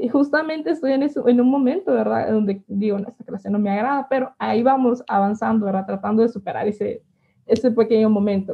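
The woman's pitch sits fairly high. She speaks very fast. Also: ordinary pitch variation. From Honduras, El Paraíso. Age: 20s. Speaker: physicist and university instructor. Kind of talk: interview.

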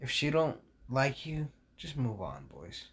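Marked by vocal fry, a man talks at a very slow pace with ordinary pitch variation. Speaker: podcast host. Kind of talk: casual monologue. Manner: animated.

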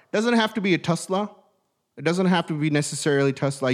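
Intonation is lively as the man speaks. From outside the US, immigrant. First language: not English. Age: 30s. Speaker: podcast host, entrepreneur. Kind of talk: casual motivational talk. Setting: studio. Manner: hesitant, many fillers.

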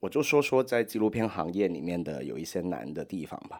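The speaker has a Hong Kong accent, vocal fry and lively intonation. The recording is very clean with a silent background. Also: man. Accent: Hong Kong-accented Mandarin. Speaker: podcast host and documentary studio head. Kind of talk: advice podcast reading and replying to letters. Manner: hesitant with many fillers.

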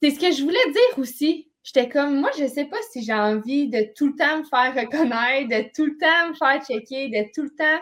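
A woman with a high-pitched voice keeps to a moderate pace. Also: ordinary pitch variation. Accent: Quebec. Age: 20s. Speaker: podcast co-host, physical education teacher. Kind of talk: casual chat.

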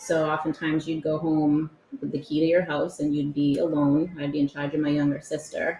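A woman's very deep, low voice with an American accent, flat and monotone at a fairly quick pace, over noticeable background noise. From Massachusetts. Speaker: youth program director. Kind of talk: casual interview. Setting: studio.

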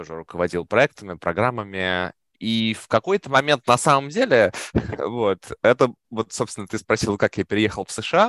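A man's normal speaking voice, fairly low in pitch with ordinary variation, at a moderate pace, dry and close with no echo. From Russia. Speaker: product manager. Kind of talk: podcast interview.

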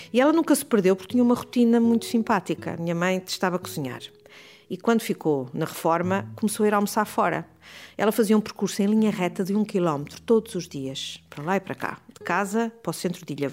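A woman's medium-pitched voice at a very fast pace, with lively intonation and big swings in loudness. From Portugal, Porto. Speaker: family caregiver. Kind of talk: interview testimony.

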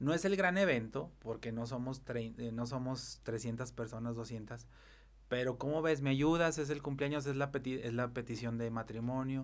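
Medium pitch, ordinary pitch variation and a fairly slow pace from a man with a plain, everyday voice. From Mexico, Zacatecas. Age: 30s. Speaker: event planner. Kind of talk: casual interview chat.

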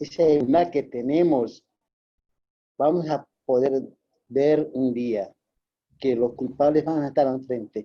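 The pace is very slow, with long, frequent pauses. Intonation stays fairly even. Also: man, fairly high pitch for a man. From Bolivia. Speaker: audience participant. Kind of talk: casual comment.

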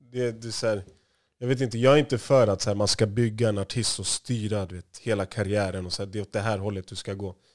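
A plain, everyday voice at a fairly quick pace with fairly even intonation, in a very clean recording with a silent background. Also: man, fairly low pitch for a man. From Stockholm area, Sweden (Järfälla). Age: 30s. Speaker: music industry manager. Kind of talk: interview.

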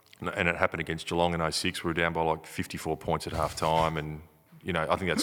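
Talking at a very fast pace with an Australian accent, a man has a very deep, low pitch and a bright, sharp tone. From Broken Hill, New South Wales, Australia. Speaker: retired Australian rules footballer. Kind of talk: casual interview.

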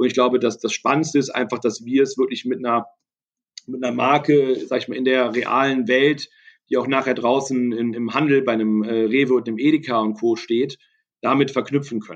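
A man with a mid-range voice talks at a moderate speed, his tone staying fairly level. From Düsseldorf, Germany. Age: 30s. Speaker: entrepreneur. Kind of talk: interview. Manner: hesitant with many fillers.

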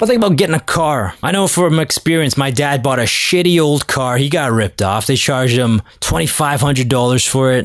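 A man's animated voice, fairly high in pitch, at a moderate pace with very even loudness and hardly any pauses. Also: lively intonation. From Canada, Toronto. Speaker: sports podcast host. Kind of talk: casual solo monologue.

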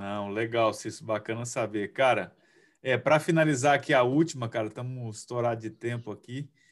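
Against a quiet background, a man talks at a moderate pace in an ordinary speaking voice with ordinary pitch variation. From Cuiabá, Brazil. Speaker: futsal player and podcast host. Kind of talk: interview.

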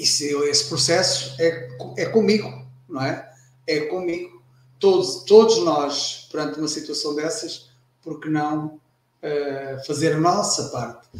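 Speaking very slowly, a man uses a fairly high voice whose pitch varies in an ordinary way. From Portugal. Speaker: retired air force veteran. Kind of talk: casual chat. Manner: halting.

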